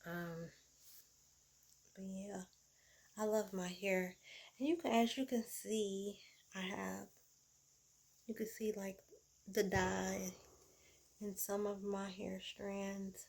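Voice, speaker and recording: Somewhat breathy, a woman speaks at a very slow pace with long, frequent pauses. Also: medium pitch for a woman, fairly even intonation. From US South. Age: 40s. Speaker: vlogger. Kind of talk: casual vlog talk. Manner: casual, with fillers and self-corrections.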